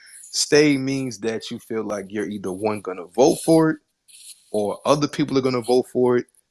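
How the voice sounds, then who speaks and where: With a normal speaking voice, a man talks at a moderate pace with ordinary pitch variation, in a dry, close sound with no echo on a very clean recording with a silent background. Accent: American. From Queens, New York. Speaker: podcast host. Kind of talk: live audio room discussion. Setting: live Twitter space.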